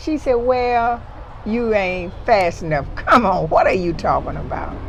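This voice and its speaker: Amid noticeable background noise, a woman's fairly high voice swings very widely in pitch as she talks at a fairly slow pace. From Mississippi, US South. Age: 70s. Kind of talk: conversational storytelling interview.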